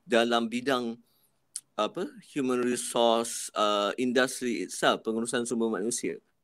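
A man at a fairly slow pace, medium in pitch. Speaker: college head of department. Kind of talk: live-stream panel talk. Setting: video call from the college.

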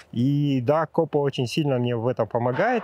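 A man talks with ordinary pitch variation. The sound is dry and close with no echo, over a quiet background. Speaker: amateur runner. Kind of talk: interview. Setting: outdoors.

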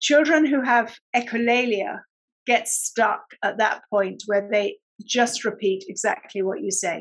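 A woman speaks with a British accent at a fairly high pitch. Her pace is fairly slow. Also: ordinary pitch variation, quiet background. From UK. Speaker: speech and language therapist. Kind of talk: interview. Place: home room. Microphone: webcam.

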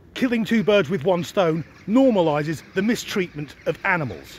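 In a dry recording with no echo, a man talks at a moderate pace with lively intonation. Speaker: vlogger. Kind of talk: casual vlog commentary rant. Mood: sarcastic, indignant. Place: forest. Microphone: phone near.

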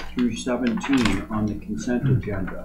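A man's voice with noticeable background noise. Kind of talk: chairing a public meeting. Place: meeting room. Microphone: podium.

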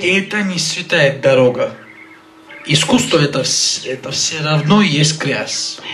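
Over light background noise, a man speaks very slowly at a fairly high pitch with ordinary pitch variation and long, frequent pauses. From Abkhazia. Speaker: talk show guest or co-host. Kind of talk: talk show conversation. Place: studio. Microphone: handheld.

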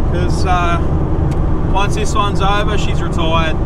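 A man talks over loud background noise. The sound is dry, with no echo. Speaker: amateur racer vlogger. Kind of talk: casual vlog chat. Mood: cheerful, joking. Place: car. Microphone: camera far.

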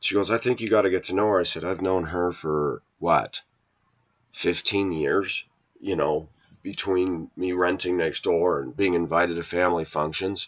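Against a quiet background, a man speaks at a moderate pace. His pitch is very deep and low, and his tone is animated. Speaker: video blogger. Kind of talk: casual rant monologue. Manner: opinionated, animated. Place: kitchen. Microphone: webcam.

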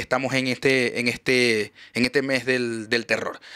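A man talks in a bright, sharp tone with a Maracaibo accent. Behind him, the background is quiet. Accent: Venezuelan Spanish (Maracaibo, voseo). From Venezuela, Maracaibo; Venezuela. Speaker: podcast host. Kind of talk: show outro; casual chat. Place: studio. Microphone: studio mic.

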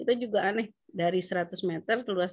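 Here a woman speaks with ordinary pitch variation. The background is quiet. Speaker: local tax official. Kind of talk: training discussion. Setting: video call. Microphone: video call.

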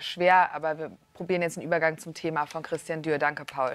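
Speaking at a very fast pace, a woman keeps her intonation fairly even, and the sound is dry with no echo. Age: young. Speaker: talk show host. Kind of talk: moderated TV debate. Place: studio. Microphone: lapel.

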